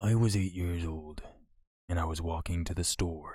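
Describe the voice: A man speaks at a moderate pace in a low, resonant voice with a slightly mellow tone. His intonation is fairly even, and the recording is very clean with a silent background.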